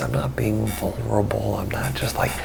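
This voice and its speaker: A man's very deep, low voice with very wide pitch swings at a moderate pace, with audible room echo and noticeable background noise. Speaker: filmmaker and vlogger. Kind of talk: casual vlog monologue. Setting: home at night. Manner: speaking low.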